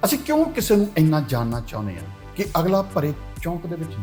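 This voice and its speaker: A man is speaking. Music plays in the background. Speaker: writer and presenter. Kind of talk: reflective monologue.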